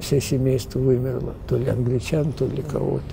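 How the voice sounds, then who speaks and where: Noticeable background noise accompanies a man talking at a medium speed. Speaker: literary translator. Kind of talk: casual chat. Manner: halting.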